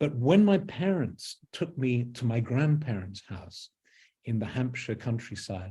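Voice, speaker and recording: A man's somewhat breathy voice with a southern English accent, medium in pitch, with a dark, mellow tone at a moderate pace. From London, England. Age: 70s. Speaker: author, druid. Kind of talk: interview.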